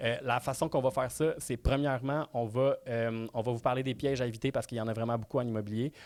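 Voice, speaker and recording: The speaker talks with a Quebec accent at a fairly quick pace. The intonation stays fairly even. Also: man. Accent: Québécois French. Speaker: real estate trainer. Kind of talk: webinar presentation. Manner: fast.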